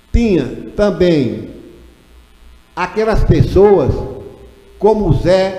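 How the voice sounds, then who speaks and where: A man speaks very slowly, with long, frequent pauses, a high pitch and lively intonation. There is audible room echo and noticeable background noise. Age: 70s. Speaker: retired teacher and local historian. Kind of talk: ceremony speech.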